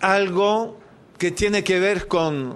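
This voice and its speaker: A man's high-pitched voice amid audible room echo. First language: French (speaking Spanish). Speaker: activist, debt campaign leader. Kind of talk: formal speech at public hearing. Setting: senate committee hearing. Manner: formal.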